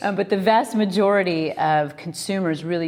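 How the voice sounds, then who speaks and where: This is an unremarkable speaking voice with an American accent. It moves at a moderate pace with ordinary pitch variation. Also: woman. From US Midwest, Iowa. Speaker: company co-founder. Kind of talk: interview.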